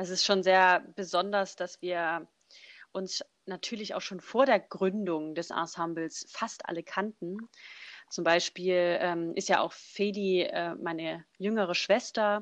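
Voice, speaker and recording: A woman's medium-pitched voice at a very slow pace, fairly even in intonation, against a quiet background. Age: 20s. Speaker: a cappella singer. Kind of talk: casual interview.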